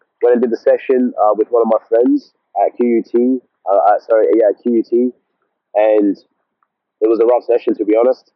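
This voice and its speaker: A man with an Australian accent speaks at a fairly quick pace and very even loudness. He leaves long, frequent pauses. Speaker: vlogger. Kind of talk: casual monologue vlog. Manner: halting, repetitive.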